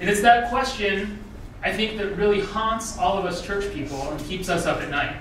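In a room with audible echo and light background noise, a man speaks at a high pitch. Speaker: guest lecturer. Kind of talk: lecture. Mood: warm, humorous storytelling. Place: hall.

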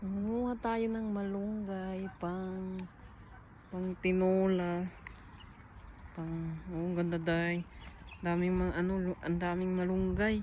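At a very slow pace with long, frequent pauses, a woman talks in a flat, monotone, medium-pitched voice amid audible room echo. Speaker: vlogger. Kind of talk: casual chat. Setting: outdoors.

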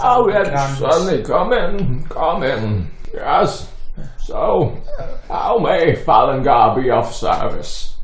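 At a very slow pace, someone does a put-on character voice with a slight echo. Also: man. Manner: doddering, cheerful, absent-minded.

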